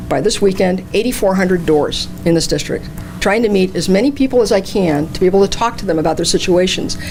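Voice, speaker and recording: A woman talks at a very fast pace with lively intonation and medium pitch. Noticeable background noise runs underneath. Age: 60s. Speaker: political candidate. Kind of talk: campaign speech. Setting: candidates night at a senior center.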